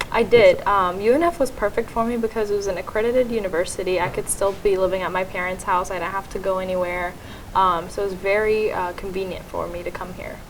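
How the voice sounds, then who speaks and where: Speaking very fast with hardly any pauses, a woman keeps a medium pitch and fairly even intonation over noticeable background noise. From Syria, moved to US at about eight. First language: Arabic. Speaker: college student. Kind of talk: interview.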